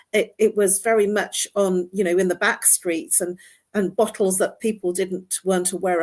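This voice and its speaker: A woman speaks at a moderate pace and medium pitch, her intonation flat and monotone. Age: 60s. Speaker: talk show host. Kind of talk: interview.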